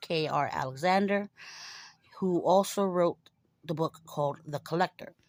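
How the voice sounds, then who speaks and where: At a moderate pace, a woman speaks with fairly low pitch and ordinary pitch variation in a very clean recording with a silent background and a dry, close sound with no echo. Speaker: book vlogger. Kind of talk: casual chat.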